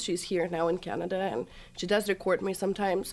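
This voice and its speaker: A woman with a Russian accent, medium pitch and a moderate pace. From Russia, Chelyabinsk. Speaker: social media influencer. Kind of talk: casual chat. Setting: studio.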